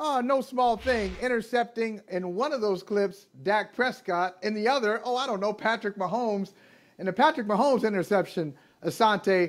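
Behind the voice, music can be heard. The delivery is neither hurried nor slow. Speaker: sports show co-host. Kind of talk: interview intro, casual banter. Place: home room. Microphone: video call.

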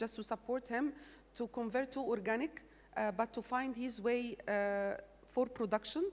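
A woman speaks with an Arabic accent at a high pitch. Her pace is moderate and her pitch variation ordinary. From Egypt. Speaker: agricultural development manager; panelist. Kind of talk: panel discussion; panel discussion answer. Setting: stage with audience. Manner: halting. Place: stage. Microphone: handheld.

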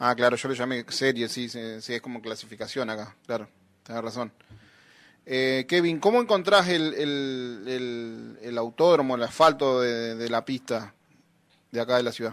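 Ordinary pitch variation from a man, fairly slow in pace. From Entre Ríos, Argentina. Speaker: radio host. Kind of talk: radio interview. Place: studio.

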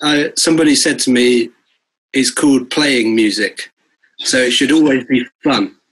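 A man with a southern English accent speaks at a fairly high pitch and a moderate pace, with fairly even intonation and very even loudness. Long, frequent pauses break up his speech against a quiet background. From Bristol, England; England. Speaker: guitarist and music producer; guest. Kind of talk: casual interview chat. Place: home room. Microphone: video call.

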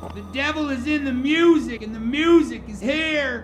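Clear background noise sits behind a man speaking at a moderate pace. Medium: short film. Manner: frantic, shouting, fanatical.

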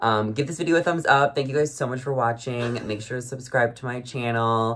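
A man with a medium pitch and an animated tone. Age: 20s. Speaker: YouTube reality TV recapper. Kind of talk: casual chat. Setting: friend's apartment bedroom. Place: home room. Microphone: phone near.

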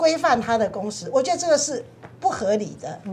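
A woman with a high pitch speaks with very wide pitch swings. Light background noise sits behind her. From Taiwan. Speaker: legislator; guest. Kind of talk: TV panel discussion. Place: studio. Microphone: lapel.

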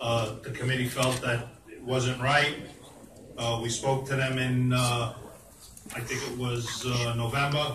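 A man's medium-pitched, monotone, flat delivery over noticeable background noise. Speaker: committee chair; committee chair reporting. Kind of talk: committee report at public meeting. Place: hall. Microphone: camera far.

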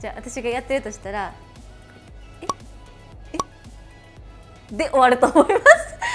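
A woman talks at a moderate pace over faint background music. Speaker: video host. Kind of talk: casual vlog chat. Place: studio. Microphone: lapel.

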